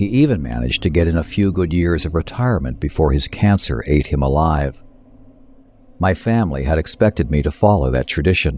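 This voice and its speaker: A man's very deep, low voice with lively intonation at a moderate pace, against noticeable background noise. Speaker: author reading own story. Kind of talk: horror audiobook narration, first-person. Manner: hushed, measured, coldly clinical and menacing.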